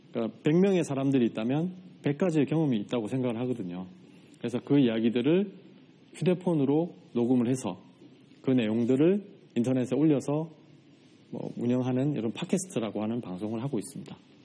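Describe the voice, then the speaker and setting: Speaking at a fairly quick pace with long, frequent pauses, a man with a Gyeongsang accent has lively intonation and a dark, mellow tone. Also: medium pitch for a man. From South Korea, Changwon, South Gyeongsang. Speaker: writer and podcaster, farm produce seller. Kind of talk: talk to studio audience. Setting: studio with audience. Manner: many filler words.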